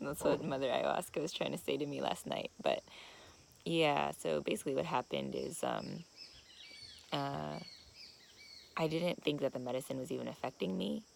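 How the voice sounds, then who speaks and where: A woman speaks quietly at a moderate pace, with long, frequent pauses and noticeable background noise. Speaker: vlogger at ayahuasca retreat. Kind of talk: confessional video diary. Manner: quiet, talking low; halting, many fillers.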